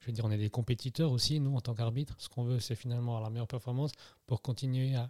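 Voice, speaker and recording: In a very clean recording with a silent background and a dry, close sound free of echo, a man speaks at a medium pitch with a somewhat breathy, dark, mellow tone and fairly even intonation. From Switzerland, Neuchâtel. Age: 30s. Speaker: football referee. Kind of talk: interview.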